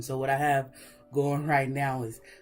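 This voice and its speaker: A woman speaks with a very deep, low pitch. Music plays behind her, and the room echo is audible. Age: 30s. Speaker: youth worker and spoken word poet vlogger. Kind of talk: personal vlog. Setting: home, dim lighting during power outage. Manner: hesitant with many fillers.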